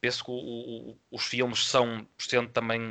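A man speaks at a medium pitch in a bright, sharp tone. The background is quiet. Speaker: film podcast co-host. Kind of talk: casual film review discussion.

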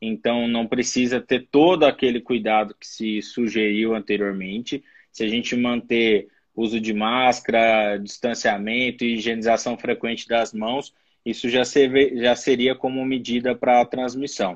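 A man has an unremarkable speaking voice at a medium pitch. He talks at a fairly slow pace with fairly even intonation. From São Paulo, Brazil. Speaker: infectious disease doctor. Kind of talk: expert interview.

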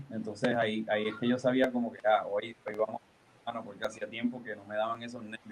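Monotone, flat intonation at a fairly quick pace, with big swings in loudness. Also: man, medium pitch for a man. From Puerto Rico. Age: 30s. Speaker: professional wrestler. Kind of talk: interview. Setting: video call.

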